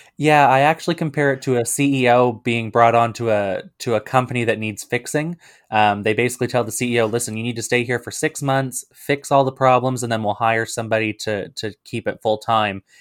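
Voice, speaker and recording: A man with an unremarkable speaking voice talks at a medium pitch and a fairly quick pace. His intonation is fairly even, with hardly any pauses. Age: 20s. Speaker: party leader, politician. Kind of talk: political interview.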